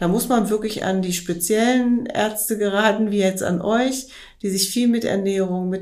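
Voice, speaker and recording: At a fairly slow pace, a woman of medium pitch speaks with ordinary pitch variation and audible room echo. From Rhineland, western Germany (Wermelskirchen). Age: 50s. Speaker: weight-loss client. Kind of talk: interview.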